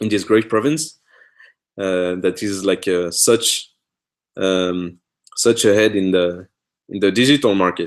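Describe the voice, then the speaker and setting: A man with a very deep, low pitch speaks at a very slow pace with a non-native accent. He shows ordinary pitch variation and takes long, frequent pauses. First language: French. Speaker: author and host of a live Q&A. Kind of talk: live Q&A stream. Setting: live online video stream. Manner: halting, many fillers and restarts.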